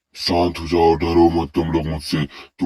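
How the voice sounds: In a cartoonish character voice, a man speaks with very deep, low pitch and monotone, flat intonation.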